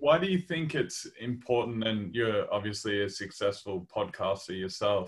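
Somewhat breathy speech with lively intonation, a moderate pace and hardly any pauses. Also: man, medium pitch for a man. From Australia, Victoria (Maryborough). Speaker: podcast host and pro basketball player. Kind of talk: casual interview chat; scripted intro.

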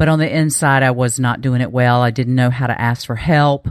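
With a North Carolina accent, a woman talks at a fairly quick pace in a very deep, low pitch. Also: very clean recording, silent background. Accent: Southern US, North Carolina. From eastern North Carolina. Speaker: peak performance coach. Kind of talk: casual interview.

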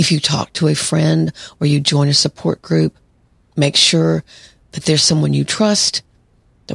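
Calm tone at a moderate pace, dry and close with no echo. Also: woman. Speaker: psychologist podcast host. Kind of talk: solo podcast monologue.

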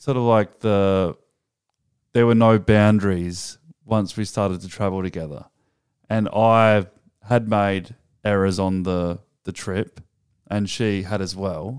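A man with an Australian accent speaks very slowly, leaving long, frequent pauses. His fairly low voice keeps a fairly even intonation on a very clean recording with a silent background. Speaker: podcast co-host. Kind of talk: casual chat.

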